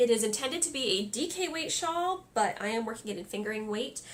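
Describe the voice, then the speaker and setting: Very wide pitch swings run through the speech, with noticeable background noise behind it. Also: woman. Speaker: crafting podcaster. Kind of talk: casual podcast monologue.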